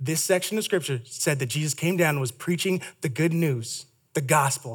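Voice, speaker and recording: A man's fairly high, somewhat breathy voice with an animated tone, lively intonation and a moderate pace. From Canada, Toronto. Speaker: campus ministry speaker. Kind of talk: sermon. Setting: stage with audience.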